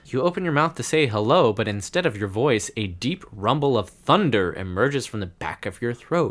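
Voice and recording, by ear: The intonation is lively. Someone reads aloud in a natural voice.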